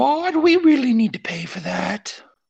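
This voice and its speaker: Using a put-on character voice at a fairly high pitch, the speaker moves at a moderate pace with very wide pitch swings. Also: female-sounding voice. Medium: actual play.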